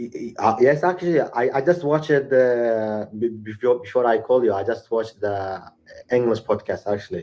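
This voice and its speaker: A man's medium-pitched voice with a dark, mellow tone, ordinary pitch variation and a moderate pace. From Iraq. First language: Arabic and Sorani Kurdish. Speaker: university student, English learner. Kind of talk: casual chat. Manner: halting, frequent stammered repetitions.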